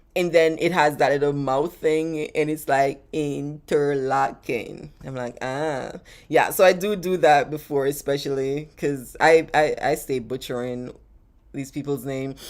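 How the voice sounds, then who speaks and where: A woman with a Jamaican accent, very deep and low in pitch, animated in tone, at a fairly slow pace. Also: big swings in loudness. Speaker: travel vlogger. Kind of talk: live stream Q&A chat.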